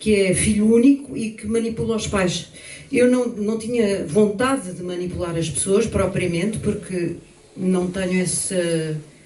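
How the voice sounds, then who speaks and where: The speaker goes at a fairly slow pace with ordinary pitch variation. Audible room echo and noticeable background noise surround the voice. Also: woman. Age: 70s. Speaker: pianist and panel participant. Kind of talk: panel discussion.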